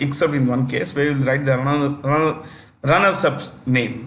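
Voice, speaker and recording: Audible room echo surrounds a man speaking at a moderate pace with a fairly high pitch. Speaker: teacher. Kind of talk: lecture. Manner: loud and clear.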